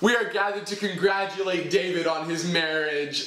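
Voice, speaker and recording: Audible room echo follows the man as he talks. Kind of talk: comedic scripted speech delivery. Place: home room.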